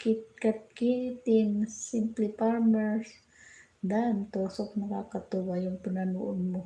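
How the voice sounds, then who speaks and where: A woman speaks very slowly in a soft-spoken, somewhat breathy voice with a dark, mellow tone, a fairly high pitch, and monotone, flat intonation. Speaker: livestreamer. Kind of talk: casual livestream chat with viewers. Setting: livestream from home kitchen. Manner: soft-spoken, keeping voice down. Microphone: hard to hear, quiet.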